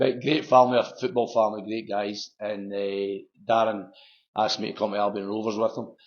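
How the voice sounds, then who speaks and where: In a Lanarkshire accent, the speaker talks at a fairly quick pace with fairly even intonation. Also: man. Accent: Scottish (Lanarkshire). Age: 60s. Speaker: football manager. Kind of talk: interview.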